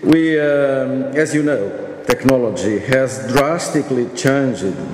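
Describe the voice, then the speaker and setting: The voice shows ordinary pitch variation. Audible room echo and light background noise are present. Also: man. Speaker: panel chairman giving a conference address. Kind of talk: formal speech. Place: hall. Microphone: podium.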